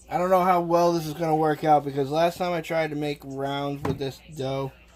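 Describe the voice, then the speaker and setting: The speaker is a man with a Boston accent. His voice is fairly high. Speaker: live streamer cooking on stream. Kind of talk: casual live-stream chat while cooking.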